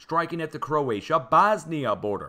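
A man with an American accent speaks in a bright, sharp tone with vocal fry and very wide pitch swings. The recording is very clean, with a silent background. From Missouri, US Midwest. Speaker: YouTube earthquake-forecast streamer. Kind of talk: casual screen-share commentary on seismic data. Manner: informal, chatty.

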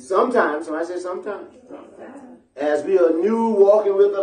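With an American accent, a man talks at a fairly quick pace in an animated tone and lively intonation, with audible room echo and light background noise. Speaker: pastor. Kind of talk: sermon. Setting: church. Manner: animated, call-and-response preaching, asking the congregation to answer; emphatic and repetitive, pressing points home. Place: church.

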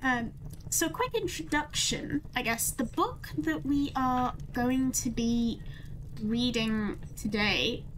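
This woman speaks at a very slow pace in a high voice. Light background noise sits behind her. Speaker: livestreamer. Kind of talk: casual stream chat.

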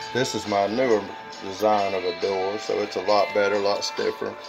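Clear music plays behind a man as he speaks. He keeps a moderate pace with ordinary pitch variation. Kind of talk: casual show-and-tell vlog. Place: workshop. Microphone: phone near.

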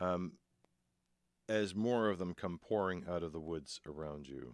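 A man talks at a fairly slow pace in a low pitch with ordinary pitch variation. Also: very clean recording, silent background.

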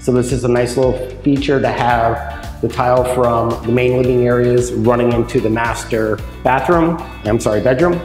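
Faint music plays behind a man speaking at a moderate pace with ordinary pitch variation. The room echo is audible. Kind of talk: property tour commentary. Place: empty room.

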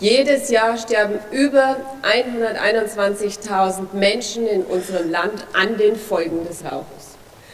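A woman's fairly high voice with ordinary pitch variation, in a strong Franconian accent. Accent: broad Franconian German. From Franconia, Germany. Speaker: politician, federal drug commissioner. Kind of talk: parliamentary speech. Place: hall. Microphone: podium.

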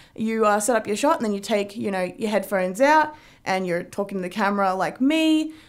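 Her intonation lively and her pace fairly quick, a woman is speaking. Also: quiet background. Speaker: tech reviewer. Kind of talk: casual review vlog. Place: home room. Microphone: phone near.

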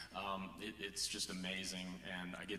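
There is audible room echo and light background noise as a man talks in a very deep, low voice. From northwest Missouri. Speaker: church elder candidate. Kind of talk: interview on stage. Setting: church. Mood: warm, enthusiastic. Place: church.

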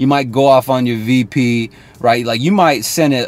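The man's voice sits at a medium pitch and moves at a moderate pace. The sound is dry, with no echo. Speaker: sales coach. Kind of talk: motivational talk to camera. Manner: casual, direct, uses slang and curse words. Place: car. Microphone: phone near.

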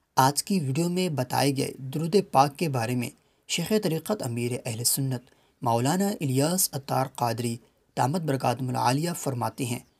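A medium-pitched, somewhat breathy male voice. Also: ordinary pitch variation. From Pakistan. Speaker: voice over artist. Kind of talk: religious narration.

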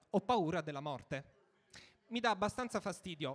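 Talking fairly quickly, the man's intonation stays lively throughout. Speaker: stand-up comedian. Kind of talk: stand-up comedy, scripted-sounding monologue. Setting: stage with audience. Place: stage. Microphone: handheld.

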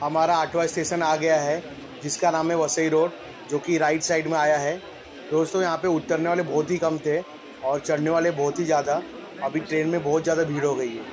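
With crowd noise in the background, a man speaks in a monotone, flat way. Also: moderate pace. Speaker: train vlogger. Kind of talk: casual vlog commentary. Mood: cheerful, pleased. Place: train. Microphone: phone near.

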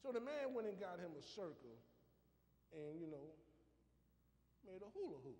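A man with a high voice talks at a moderate pace in an animated tone, his pitch swinging very widely. He leaves long, frequent pauses. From US South. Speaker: preacher. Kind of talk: sermon. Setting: church. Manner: animated, call-and-response preaching with emphatic delivery. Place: church. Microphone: camera far.

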